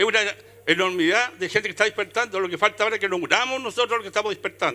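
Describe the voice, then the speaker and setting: A man speaks at a very fast pace in a raised, projected voice with a high pitch. His tone is bright and sharp, with ordinary pitch variation. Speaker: audience member. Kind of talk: audience comment. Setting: book fair with live audience. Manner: with conviction.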